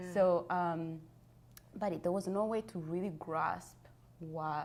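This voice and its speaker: A woman speaks with a fairly low voice at a very slow pace. Her pitch shows ordinary variation. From Rwanda. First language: Kinyarwanda. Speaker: genocide survivor and author. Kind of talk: interview testimony. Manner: halting.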